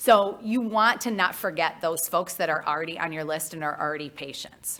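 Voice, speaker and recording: A woman with a fairly low pitch and a bright, sharp tone, at a moderate pace with ordinary pitch variation. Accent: Midwestern US. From US Midwest. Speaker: marketing consultant. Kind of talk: conference talk.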